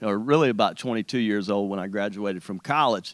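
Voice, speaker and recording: An eastern North Carolina accent on a very clean recording with a silent background. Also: man. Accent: Southern US (eastern North Carolina). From US South, rural eastern North Carolina. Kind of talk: testimony. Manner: halting, many repeats and fillers.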